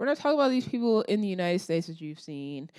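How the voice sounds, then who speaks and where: On a very clean recording with a silent background, a woman speaks in an animated tone with very wide pitch swings. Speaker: political commentary youtuber. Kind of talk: opinion monologue.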